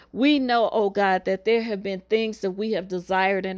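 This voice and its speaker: A woman with an ordinary speaking voice talks at a medium pitch with fairly even intonation against a quiet background. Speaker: minister leading weekly prayer. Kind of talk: fervent prayer and decree, urgent, pleading, declaring blessings. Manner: fervent; declarative, repetitive.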